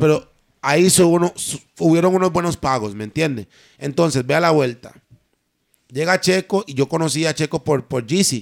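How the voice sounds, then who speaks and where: A man with a fairly high voice speaks at a moderate pace with ordinary pitch variation, leaving long, frequent pauses in a dry, close sound with no echo. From Costa Rica, Limón. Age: 20s. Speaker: singer. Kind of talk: casual chat.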